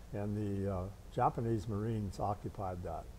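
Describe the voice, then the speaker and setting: Against light background noise, a man with an American accent speaks in a fairly low, dark, mellow voice with monotone, flat intonation. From Cincinnati area, Ohio. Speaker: war veteran. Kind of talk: oral history interview. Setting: veterans' hall. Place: hall. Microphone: lapel.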